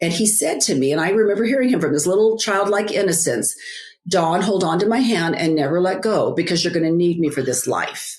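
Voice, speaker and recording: Here is a woman with an unremarkable speaking voice at a medium pitch. She talks at a moderate pace with lively intonation. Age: 60s. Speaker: author and biblical life coach. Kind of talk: interview testimony. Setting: podcast interview.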